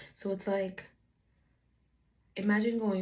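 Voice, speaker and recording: Echo from the room can be heard clearly. The speaker is a woman. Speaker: faith vlogger, aspiring author. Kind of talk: casual vlog monologue. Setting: at home, talking to camera. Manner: deliberately slow.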